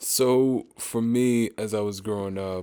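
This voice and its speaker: This man has an American accent, his intonation fairly even. The background is silent and the recording very clean. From Pennsylvania, US. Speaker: engineer, podcast guest. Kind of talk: interview conversation.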